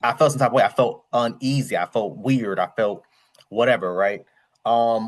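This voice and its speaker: This man talks at a medium pitch and a moderate pace, with an American accent. His pitch varies in an ordinary way. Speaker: YouTube commentator. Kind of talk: casual commentary vlog. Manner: casual, conversational.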